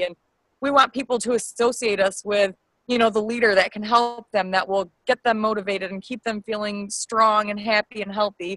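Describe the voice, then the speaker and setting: Recorded with a dry, close sound and no echo, a woman speaks fairly quickly at a fairly high pitch, her intonation fairly even. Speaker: fitness coach. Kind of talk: team call presentation. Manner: fast.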